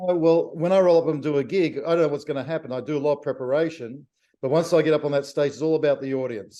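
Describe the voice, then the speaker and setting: A man with an Australian accent, a dark, mellow tone, a fairly high pitch, ordinary pitch variation and a very fast pace. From Australia, Victoria (Melbourne). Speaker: jazz pianist. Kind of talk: interview.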